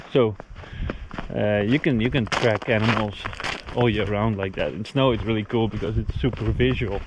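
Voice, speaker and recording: With noticeable background noise, a man speaks at a moderate pace in a fairly low voice with ordinary pitch variation and long, frequent pauses. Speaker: homesteader. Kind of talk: casual vlog narration. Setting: outdoors. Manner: loud.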